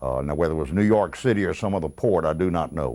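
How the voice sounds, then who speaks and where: In a very clean recording with a silent background, a man with a Mississippi accent speaks at a very deep, low pitch, with vocal fry and ordinary pitch variation. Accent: Southern US (Mississippi). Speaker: retired sports radio announcer. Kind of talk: interview reminiscence. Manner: halting, many fillers.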